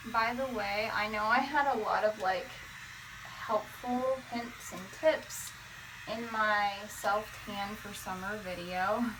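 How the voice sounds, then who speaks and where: A woman speaks at a fairly high pitch and a fairly slow pace. Audible room echo surrounds her voice. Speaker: beauty vlogger. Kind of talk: hair tutorial.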